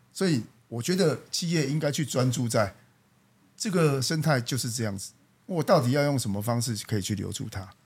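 Somewhat breathy and medium in pitch, a man speaks at a fairly quick pace with lively intonation. The recording is very clean, with a silent background. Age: 40s. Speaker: company general manager. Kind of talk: casual interview.

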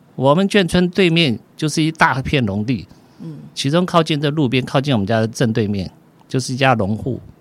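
Here a man has a plain, everyday voice. He keeps a moderate pace. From southern Taiwan, military dependents' village. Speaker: physician. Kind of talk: interview storytelling.

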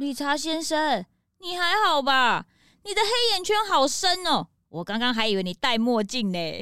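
Swinging widely in pitch, a woman performs a put-on character voice at a high pitch, her tone clear and smooth yet bright and sharp. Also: moderate pace.

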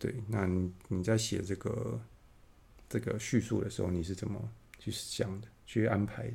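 A man with a fairly low pitch and a dark, mellow tone speaks at a moderate pace with ordinary pitch variation. His voice carries vocal fry, and he leaves long, frequent pauses. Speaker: podcast host. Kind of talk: casual interview. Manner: halting, many fillers.

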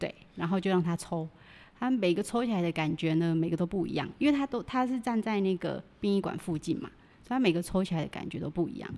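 Speaking at a very fast pace, a woman has a dark, mellow tone and lively intonation. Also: medium pitch for a woman. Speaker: Thai amulet dealer. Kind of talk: casual interview chat.

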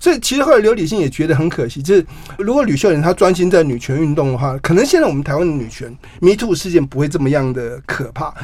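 Through noticeable background noise, a man with a fairly high pitch talks at a very fast pace with lively intonation. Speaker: journalist and author. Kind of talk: interview.

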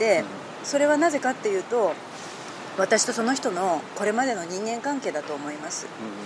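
Her pitch sits fairly high for a woman and swings very widely. The woman talks at a fairly quick pace over noticeable background noise. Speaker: journalist. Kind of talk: interview.

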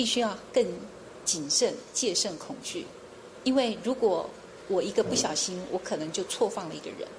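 A woman talks while clear background noise can be heard. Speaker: chief prosecutor. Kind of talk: interview. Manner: soft-spoken.

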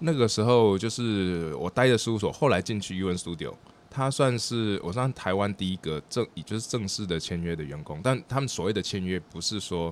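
In an unremarkable speaking voice, a man with a fairly low pitch talks at a moderate pace with lively intonation and hardly any pauses. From Taiwan. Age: 40s. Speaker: architect and treehouse builder. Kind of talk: interview.

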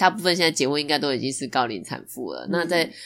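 A woman with a very deep, low pitch and vocal fry speaks with ordinary pitch variation in a very clean recording with a silent background. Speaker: podcast guest, newlywed. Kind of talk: casual chat.

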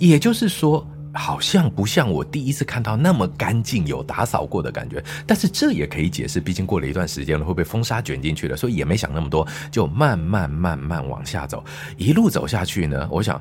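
Noticeable background noise sits behind a man with a very deep, low pitch. He talks fairly quickly with very wide pitch swings. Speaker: teacher and science show host. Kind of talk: storytelling in casual chat. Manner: dramatic storytelling delivery.

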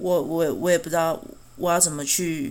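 A woman talks with a Taiwanese accent. Her pitch is fairly low. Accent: Taiwanese Mandarin. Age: 30s. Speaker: podcast host. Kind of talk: personal monologue podcast. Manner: halting, frequent stammering.

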